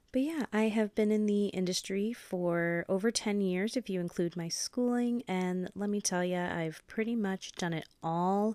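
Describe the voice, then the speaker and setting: Using an ordinary speaking voice with an American accent, a woman of medium pitch speaks at a moderate pace with ordinary pitch variation, on a very clean recording with a silent background and a dry, close sound with no echo. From US Pacific Northwest, Washington State. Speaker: esthetician and podcast host. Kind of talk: solo podcast monologue.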